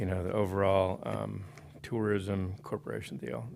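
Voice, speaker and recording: This man's voice sits fairly low and carries vocal fry. He speaks at a fairly quick pace. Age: 60s. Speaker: public commenter at county meeting. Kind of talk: public comment speech.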